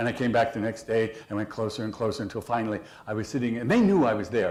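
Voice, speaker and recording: Somewhat breathy, a man's medium-pitched voice holds fairly even intonation. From San Francisco. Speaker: speaker. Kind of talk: speech.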